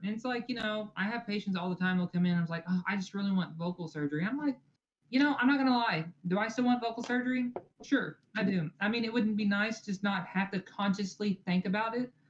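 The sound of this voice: A woman speaks fast at a medium pitch, with ordinary pitch variation.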